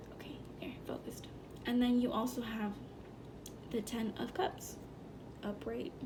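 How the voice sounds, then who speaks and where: Over noticeable background noise, the whispered words come at a moderate pace. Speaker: tarot reader. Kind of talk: tarot reading. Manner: halting, with fillers.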